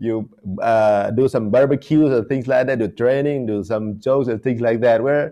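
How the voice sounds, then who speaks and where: In an Indonesian accent, a man with a dark, mellow tone speaks at a moderate pace with fairly even intonation. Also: medium pitch for a man. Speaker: interviewer. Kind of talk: interview.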